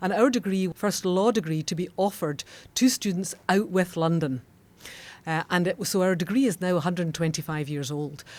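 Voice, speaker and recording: With a Scottish accent, a woman talks at a fairly low pitch with ordinary pitch variation. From Scotland. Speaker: law school dean. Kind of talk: podcast interview. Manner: formal.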